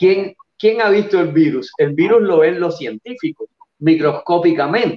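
A man with a Cuban accent speaks at a fairly slow pace in a high voice, his pitch rising and falling in an ordinary way. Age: 60s. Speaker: nutrition researcher. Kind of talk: interview on a live show. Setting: live stream.

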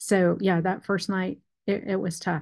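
A woman speaks against a quiet background. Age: 40s. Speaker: pastor's wife sharing her donor-conceived story. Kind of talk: interview testimony.

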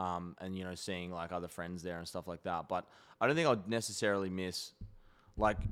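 This man has a very deep, low pitch. The recording is very clean, with a silent background. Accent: Australian. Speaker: tennis player and podcast co-host. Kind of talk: casual chat. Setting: studio. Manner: animated.

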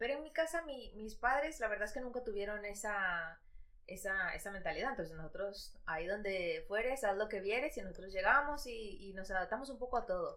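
A woman's fairly high voice, lively in intonation and fairly quick, with noticeable background noise and audible room echo. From Ecuador, raised in Madrid from age 8. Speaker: podcast co-host. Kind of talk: casual chat.

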